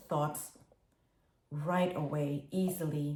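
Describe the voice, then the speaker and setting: The woman's voice has a dark, mellow tone and is somewhat breathy. She talks at a very slow pace with fairly even intonation. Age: 60s. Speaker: dyslexia advocate and public speaker. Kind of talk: prepared personal testimony. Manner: earnest, addresses the audience directly.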